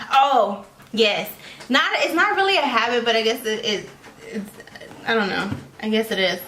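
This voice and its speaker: There is audible room echo. Noticeable background noise is present too. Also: woman. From Mexico. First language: Spanish. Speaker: vlogger. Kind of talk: casual chat.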